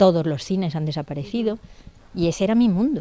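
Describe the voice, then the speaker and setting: A woman's dark, mellow voice at a fairly quick pace, in a dry sound with no echo. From Spain, Elda (Alicante, Valencia region). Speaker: novelist. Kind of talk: interview. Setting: bookshop. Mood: nostalgic, warm. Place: shop. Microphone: handheld.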